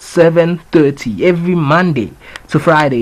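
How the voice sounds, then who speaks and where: A man with a fairly high pitch and ordinary pitch variation speaks at a fairly slow pace amid noticeable background noise. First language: not English. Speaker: entertainment news podcast host. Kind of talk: casual entertainment news commentary. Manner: casual, filler-heavy.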